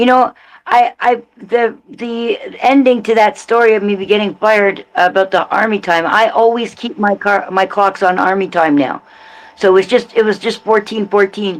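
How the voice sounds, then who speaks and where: A woman with a fairly high pitch and an unremarkable speaking voice talks at a moderate pace with ordinary pitch variation. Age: 60s. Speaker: live streamer. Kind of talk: casual chat.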